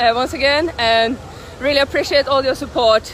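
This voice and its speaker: A woman speaks at a high pitch. Crowd noise runs in the background. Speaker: traveling animal rights activist filming a protest. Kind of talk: street protest vlog narration. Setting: outdoors in city streets and shops. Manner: enthusiastic.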